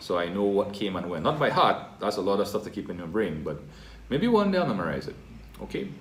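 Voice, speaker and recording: In a room with audible echo, a man talks at a very fast pace in a fairly low pitch with ordinary pitch variation. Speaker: teacher. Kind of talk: tutorial.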